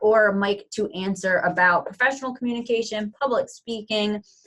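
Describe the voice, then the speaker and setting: A woman at a moderate pace and fairly high pitch, with music in the background. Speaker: webinar moderator. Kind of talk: webinar Q&A moderation. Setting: online webinar.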